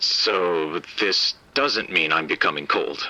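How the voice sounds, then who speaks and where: A man puts on a character voice, raspy and very deep in pitch. He speaks at a very slow pace. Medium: audio drama. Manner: stammering, nervous.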